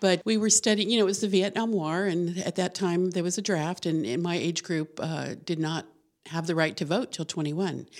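Over a very clean recording with a silent background, a woman with an American accent and an ordinary speaking voice talks at a fairly quick pace, with fairly low pitch and ordinary pitch variation. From New Mexico, US. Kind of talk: casual interview. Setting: studio.

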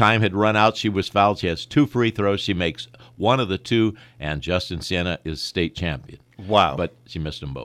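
With an American accent and a plain, everyday voice, a man speaks at a moderate pace in a fairly low pitch with lively intonation, in a very clean recording with a silent background. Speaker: sportscaster. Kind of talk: interview. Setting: radio studio.

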